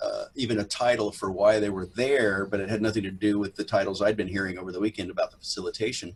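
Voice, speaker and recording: A man talks at a very fast pace with a Southern accent. His pitch is fairly low and his intonation monotone and flat. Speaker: actor. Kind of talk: interview.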